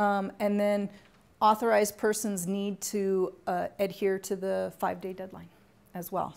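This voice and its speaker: In an unremarkable speaking voice, a woman talks at a fairly slow pace with a medium pitch. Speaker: university grants administrator presenting a workshop. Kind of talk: training workshop presentation.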